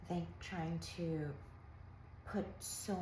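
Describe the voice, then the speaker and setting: A calm tone amid noticeable background noise and audible room echo. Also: woman. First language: not English. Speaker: lifestyle vlogger. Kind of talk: casual monologue. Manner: halting.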